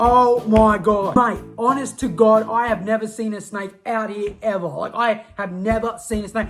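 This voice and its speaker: A woman with an Australian accent speaks at a fairly slow pace in a somewhat breathy, fairly high voice. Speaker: YouTuber. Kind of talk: casual comedic monologue. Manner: animated; halting.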